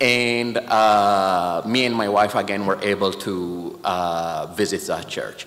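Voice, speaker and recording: With an Ethiopian accent, a man speaks at a very slow pace with hardly any pauses, using a fairly low pitch and fairly even intonation over noticeable background noise. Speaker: patient advocate, organization president. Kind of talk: speech. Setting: church.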